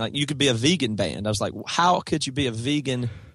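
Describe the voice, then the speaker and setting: Using a normal speaking voice, a man talks at a fairly quick pace with a medium pitch and ordinary pitch variation. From US South, South Carolina. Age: 30s. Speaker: rock band guitarist. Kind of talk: casual chat.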